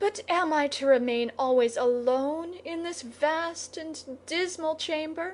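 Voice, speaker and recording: Putting on a character voice at an extremely high pitch, a woman talks at a fairly slow pace with lively intonation and hardly any pauses. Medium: read story.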